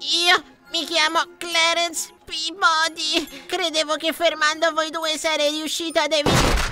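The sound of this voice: A put-on character voice, bright and sharp, with little pitch movement at a fairly slow pace over faint music in the background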